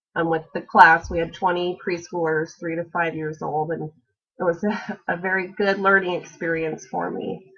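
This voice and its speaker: A woman with an Alaskan accent, fairly low-pitched, at a moderate pace with fairly even intonation. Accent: American, Alaskan. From Alaska, Kenai Peninsula. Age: 30s. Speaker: college student. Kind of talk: class introduction video. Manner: hesitant, frequent fillers.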